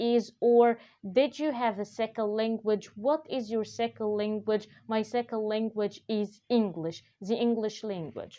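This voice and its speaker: A woman speaks very slowly with an Arabic accent. Her pitch is fairly high. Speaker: English teacher. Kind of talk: tutorial. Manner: hesitant, many fillers.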